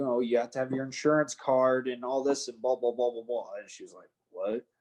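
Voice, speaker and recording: A man's plain, everyday voice at medium pitch, with fairly even intonation and an American accent. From United States. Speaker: professional MMA fighter. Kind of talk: casual chat.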